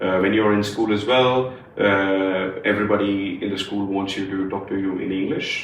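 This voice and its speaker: A man with a strong Punjabi accent talks at a moderate pace in a fairly low, flat monotone. Audible room echo and noticeable background noise are present. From India, Punjab. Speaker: podcast co-host. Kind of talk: casual chat. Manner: many fillers and hesitations.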